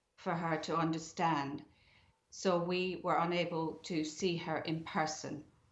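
In a room with audible echo, a woman speaks at a fairly low pitch. Her pace is fairly slow and her intonation monotone and flat. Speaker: bereaved family member. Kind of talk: interview. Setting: remote link from home. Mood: grieving, calm, sombre. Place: home room. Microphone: webcam.

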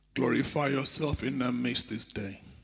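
A man speaks at a fairly slow pace with vocal fry, the background quiet. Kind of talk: prayer. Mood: reverent, fervent. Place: church. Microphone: handheld.

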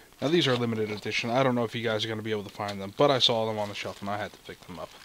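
The recording is dry with no echo, with noticeable background noise as a man talks at a very fast pace. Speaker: food review host. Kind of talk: casual review vlog chat. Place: home room.

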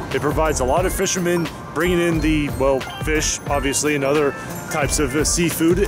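A man's voice at a moderate pace, dry with no echo, with clear music in the background. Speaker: travel vlogger. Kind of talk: casual vlog chat. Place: street. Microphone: phone near.

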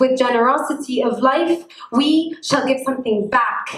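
In a quiet background with audible room echo, a woman speaks at a fairly slow pace in a high voice. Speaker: poet. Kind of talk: spoken word poetry performance. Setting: live event. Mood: tender, emotional. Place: hall. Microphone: handheld.

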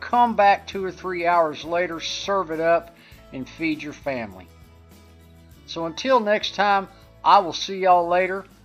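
The pace is fairly slow, with long, frequent pauses. Faint music plays in the background. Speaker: home cook host. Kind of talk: cooking tutorial. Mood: friendly, relaxed. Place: kitchen.

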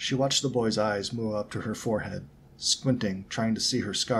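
This is an unforced reading voice. Nothing else stands out in it.

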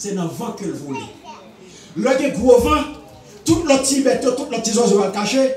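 Amid light background noise and audible room echo, a man speaks in an animated tone at a fairly slow pace with an extremely high pitch. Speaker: preacher. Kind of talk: sermon. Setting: church. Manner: animated, exhortative, call-and-response with congregation. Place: church. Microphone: camera far.

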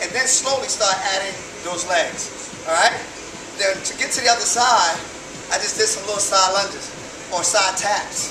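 A high-pitched man's voice with long, frequent pauses over noticeable background noise. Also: ordinary pitch variation, moderate pace. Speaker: fitness instructor. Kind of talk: tutorial. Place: gym. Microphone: camera far.

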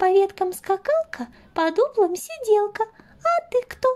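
This is a put-on character voice that sounds female. It moves at a fairly slow pace. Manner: lively, boastful.

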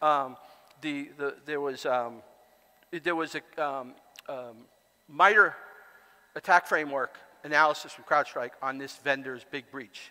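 Long, frequent pauses at a fairly slow pace, a bright, sharp tone, fairly even intonation and big swings in loudness. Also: man, fairly high pitch for a man. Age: 60s. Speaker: conference speaker and author; conference speaker. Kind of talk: conference talk. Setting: stage with audience. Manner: halting. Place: hall.

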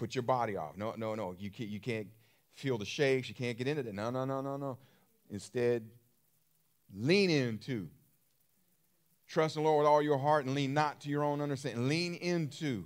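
A man speaking at a moderate pace, with ordinary pitch variation and long, frequent pauses, over a quiet background. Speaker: preacher. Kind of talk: sermon.

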